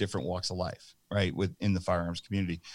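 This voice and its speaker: With an American accent, the man's very deep, low voice comes through in a very clean recording against a silent background. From New Jersey. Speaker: nonprofit founder, firearms industry executive. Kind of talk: casual interview chat.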